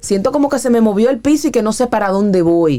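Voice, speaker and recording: A woman's dark, mellow tone at a fairly high pitch, with very wide pitch swings and a fairly quick pace. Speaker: psychologist. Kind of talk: radio talk segment.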